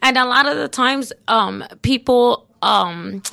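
On a very clean recording with a silent background, a woman's bright, sharp tone comes through dry and close, with no echo. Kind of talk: casual chat.

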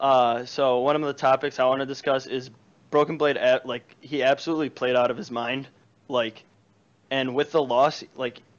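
In a Chicago accent, a man speaks at a moderate pace and medium pitch with monotone, flat intonation. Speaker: caller. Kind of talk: casual chat. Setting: online call-in. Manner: loud.

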